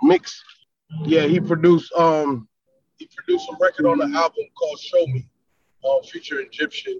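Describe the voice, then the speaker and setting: A New York accent in a dry, close sound with no echo. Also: man. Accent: northern US (New York). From South Florida, born in New York. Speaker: rapper. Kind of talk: casual interview chat.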